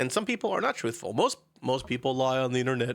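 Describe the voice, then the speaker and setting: A very clean recording holds this voice against a silent background. The delivery runs at a very fast pace. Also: man. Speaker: VTuber streamer. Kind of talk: live stream chat. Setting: live stream. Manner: halting.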